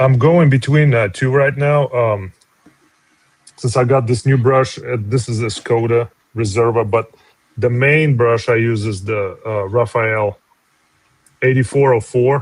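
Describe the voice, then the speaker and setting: A man's medium-pitched voice in a Russian accent, fairly slow and fairly even in intonation, with long, frequent pauses. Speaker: comic artist. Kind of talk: casual chat.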